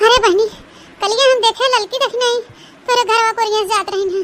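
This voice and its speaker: Squeaky and cartoonish, a woman's character voice runs at a fairly quick pace with extremely high pitch and fairly even intonation. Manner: insinuating, chatty.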